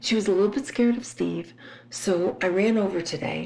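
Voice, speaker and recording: Audible room echo colors the recording. A woman talks at a moderate pace. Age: 60s. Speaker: podcaster. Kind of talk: casual monologue.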